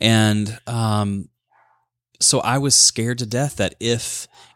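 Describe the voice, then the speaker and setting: In a very clean recording with a silent background, a man speaks with a fairly low pitch. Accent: Southern US. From US South, Alabama (Birmingham). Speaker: author and life coach, former pastor. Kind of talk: interview testimony.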